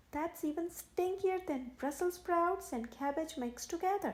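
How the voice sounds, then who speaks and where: Putting on a squeaky character voice at an extremely high pitch, a woman speaks at a moderate pace with ordinary pitch variation. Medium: read story.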